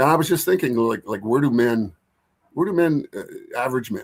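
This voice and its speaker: In a normal speaking voice, a man of medium pitch talks at a fairly quick pace with ordinary pitch variation. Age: 60s. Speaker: podcast co-host and relationship workshop leader. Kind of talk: casual panel discussion. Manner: casual, with many fillers.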